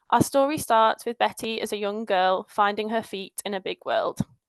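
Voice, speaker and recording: A woman's fairly high voice with a northern English accent, fairly even intonation, and a dry, close sound with no echo. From northern England. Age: 20s. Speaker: patient advocate. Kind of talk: conference talk, telling a personal story. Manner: storytelling.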